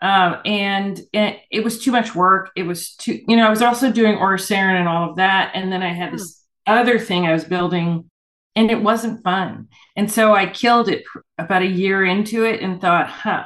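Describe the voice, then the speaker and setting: With an unremarkable speaking voice, a woman talks at a moderate pace and a medium pitch. Her intonation is fairly even. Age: 60s. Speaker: urban fantasy author. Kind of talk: interview.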